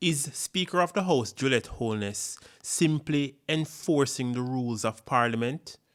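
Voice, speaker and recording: A man with a normal speaking voice talks at a fairly slow pace and medium pitch, with ordinary pitch variation and hardly any pauses, on a very clean recording with a silent background. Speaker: political commentator. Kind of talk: political commentary to camera.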